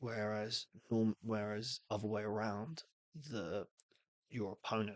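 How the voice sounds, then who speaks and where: A man speaks at a fairly low pitch with fairly even intonation. The sound is dry and close, with no echo. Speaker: streamer. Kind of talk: casual live-stream commentary explaining game rules. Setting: live stream. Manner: halting, many false starts.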